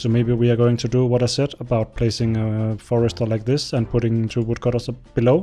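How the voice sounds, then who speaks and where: Over music in the background, a man with a Danish accent and a medium pitch talks at a fairly quick pace, his intonation monotone and flat and his loudness very even. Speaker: gaming YouTuber. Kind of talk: gameplay commentary. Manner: casual, rambling with hesitations.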